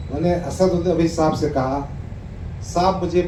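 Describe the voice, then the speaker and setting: Over noticeable background noise and audible room echo, a man talks in a high voice with fairly even intonation. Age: 60s. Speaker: politician. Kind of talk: public speech to a gathering; reading aloud an open letter.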